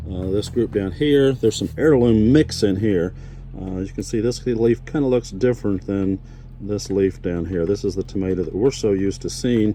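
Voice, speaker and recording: A man with an Indiana accent, relaxed in tone, at a moderate pace with ordinary pitch variation, over noticeable background noise. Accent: rural Indiana (Hoosier). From Indiana, US Midwest. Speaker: farmer. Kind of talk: casual video tour. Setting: high tunnel greenhouse on a farm. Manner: relaxed, many fillers (uh, um).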